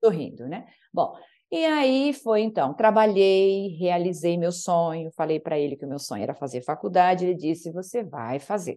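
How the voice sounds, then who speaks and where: A woman with a dark, mellow tone and a fairly low pitch speaks with lively intonation. She keeps a moderate pace against a quiet background. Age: 50s. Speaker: naturopath and podcast guest. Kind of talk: interview conversation.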